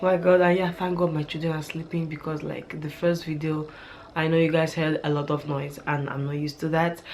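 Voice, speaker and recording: A woman speaks in a very deep, low voice with flat, monotone intonation. The room echo is audible and background noise is noticeable. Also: fairly quick pace. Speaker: beauty and hair vlogger. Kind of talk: casual vlog tutorial. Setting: home at night, children sleeping.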